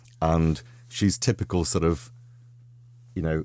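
The recording is very clean, with a silent background. A man with a very deep, low pitch speaks at a moderate pace and with ordinary pitch variation. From Liverpool, England. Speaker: novelist. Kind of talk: radio interview. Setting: radio studio.

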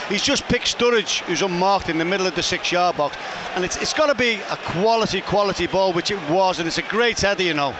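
A man speaks at a fairly quick pace in a high voice. Noticeable background noise can be heard behind him. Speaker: football pundit, co-commentator. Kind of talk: live co-commentary, analyst chat.

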